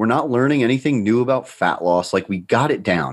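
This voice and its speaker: On a very clean recording with a silent background, a man speaks with lively intonation. His pace is moderate. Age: 30s. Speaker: nutrition coaching company founder. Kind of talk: casual chat.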